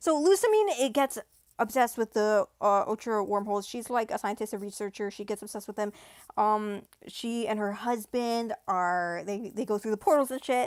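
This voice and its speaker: A woman at a fairly high pitch with ordinary pitch variation and a moderate pace, in a dry, close sound with no echo and a very clean recording with a silent background. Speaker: YouTuber. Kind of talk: livestream rant. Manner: hesitant, many fillers.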